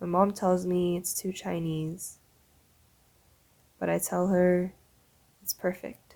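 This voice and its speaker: With a Canadian accent, a woman speaks very slowly in a fairly low, dark, mellow voice, her intonation monotone and flat and her speech broken by long, frequent pauses. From Canada. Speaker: spoken word poet. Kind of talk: spoken word performance.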